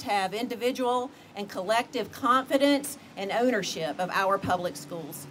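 Light background noise accompanies a woman's voice. Her pitch is high and her intonation lively. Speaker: school board official. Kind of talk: ceremonial speech. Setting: stage with audience. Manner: formal. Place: street. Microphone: podium.

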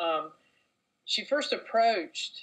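The speech comes at a fairly slow pace. It carries a Southern US accent. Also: woman. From North Carolina, US. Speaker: novelist. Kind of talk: interview answer.

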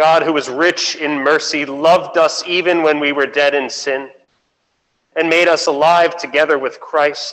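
The speech moves at a fairly slow pace in a monotone, flat intonation. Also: man, fairly high pitch for a man. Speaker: worship leader. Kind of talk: liturgy. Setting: church. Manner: formal. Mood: solemn, formal. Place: church.

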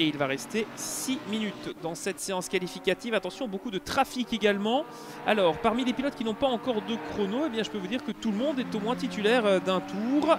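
A man with a high pitch for a man talks at a fairly quick pace with lively intonation over noticeable background noise. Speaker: sim racing commentator. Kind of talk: race commentary. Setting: recorded VOD commentary over gameplay. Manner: fluent, attentive play-by-play, moderately paced.

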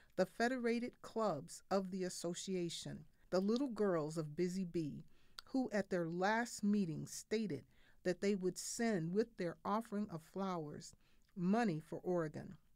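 A woman speaks with a normal speaking voice at a medium pitch. Her pace is fairly slow and her pitch varies in an ordinary way. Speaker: reader of historical speeches. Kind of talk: reading of a historical eulogy. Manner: solemn, mournful.

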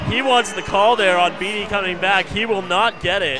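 A man's raised, projected voice in an energetic tone. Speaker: play-by-play commentator. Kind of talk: live sports commentary. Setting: broadcast from arena. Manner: rapid-fire, clipped play-by-play, calling each pass, drive and shot as it happens; energetic, steady broadcast delivery.

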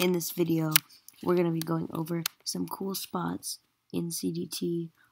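Soft-spoken and fairly slow, a woman talks at a fairly low pitch. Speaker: gaming video creator. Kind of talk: gameplay commentary. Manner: halting, many fillers.

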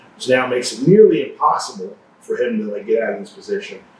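Room echo can be heard around the voice. The man keeps a moderate pace. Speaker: grappling coach. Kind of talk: tutorial. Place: gym.

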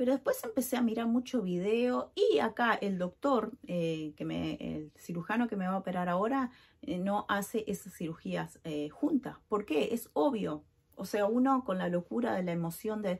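A woman speaks with a Uruguayan accent at a medium pitch and a moderate pace. Her voice is somewhat breathy, with lively intonation. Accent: Uruguayan Rioplatense Spanish. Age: 40s. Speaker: vlogger. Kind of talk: personal vlog. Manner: casual, filler-heavy.

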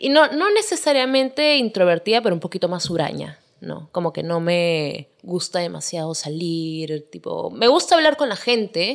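A woman at a medium pitch with very wide pitch swings, at a moderate pace, over a quiet background. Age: 20s. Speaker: singer; podcast guest. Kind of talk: casual chat. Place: home room. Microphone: studio mic.

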